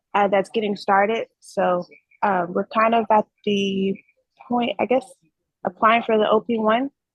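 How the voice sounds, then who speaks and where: A woman speaks fairly slowly at a fairly high pitch, her voice somewhat breathy. Her intonation is monotone and flat, her loudness very even, and she pauses long and often. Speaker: trainee freight broker. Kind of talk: casual chat.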